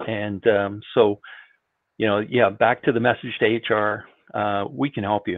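A man speaks at a fairly slow pace, with a quiet background behind him. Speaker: IT industry veteran. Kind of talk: panel discussion. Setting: video call. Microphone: video call.

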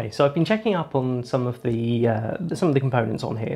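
With faint music in the background, a man's words come at a fairly quick pace. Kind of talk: tutorial commentary. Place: workshop. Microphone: lapel.

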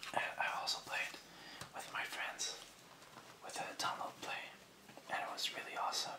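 A man whispering at a moderate pace, with long, frequent pauses. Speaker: ASMR creator. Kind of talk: ASMR whispered video game collection showcase to camera. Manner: whispered, soft-spoken.

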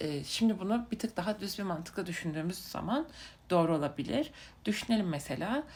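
A somewhat breathy woman speaks at a moderate pace, her pitch swinging very widely. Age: 20s. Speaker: vlogger. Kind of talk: casual monologue. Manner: halting with many fillers.

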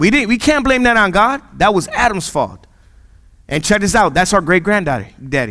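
In a raised, projected voice, a man speaks at a moderate pace with an animated, bright and sharp tone, high pitch, very wide pitch swings and very even loudness, all against a quiet background. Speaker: pastor. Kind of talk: sermon. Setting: church. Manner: casual, jokey, conversational; animated, repeats phrases for emphasis. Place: church. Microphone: headset.

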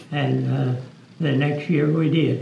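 Speaking very slowly in a flat monotone, a man with a fairly high pitch is heard with audible room echo and light background noise. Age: 80s+. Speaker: muzzleloading rifle shooter. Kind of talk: interview answer. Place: hall.

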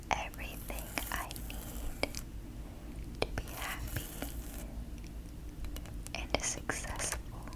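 A woman's whisper, gentle in tone and very slow. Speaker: affirmation video creator. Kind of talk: soft spoken affirmations. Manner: gentle eyes-closed whisper. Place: home room.

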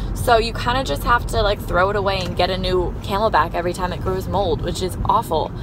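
A woman talks at a fairly quick pace. The sound is dry with no echo, though background noise is noticeable. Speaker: vlogger. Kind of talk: casual vlog chat. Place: car. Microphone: phone near.

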